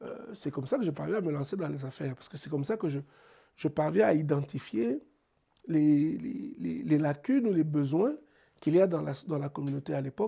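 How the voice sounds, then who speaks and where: A man with a Congolese accent speaks at a fairly quick pace in a fairly high pitch, with a dark, mellow tone. He sounds somewhat breathy, his intonation is lively, and his loudness swings widely. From DR Congo, Mbuji-Mayi. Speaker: entrepreneur. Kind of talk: interview. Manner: halting, many repetitions.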